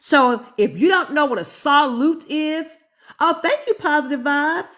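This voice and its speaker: A woman with a North Carolina accent at a moderate pace. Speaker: chemistry professor. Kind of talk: live-streamed lecture. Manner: casual, conversational.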